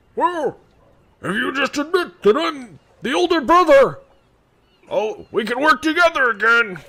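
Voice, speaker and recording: Using a put-on character voice at an extremely high pitch, a man speaks at a moderate pace with long, frequent pauses. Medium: actual play. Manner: loud, bossy.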